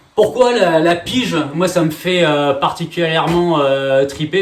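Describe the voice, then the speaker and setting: A man talks with an energetic tone and ordinary pitch variation. Noticeable background noise is present. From France. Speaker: real estate trainer and coach. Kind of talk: masterclass presentation. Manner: fast; energetic, many filler hesitations.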